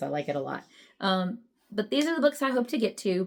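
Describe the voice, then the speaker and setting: With very wide pitch swings and a fairly quick pace, a woman speaks on a very clean recording with a silent background. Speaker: book vlogger. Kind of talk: casual vlog talk. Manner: fast.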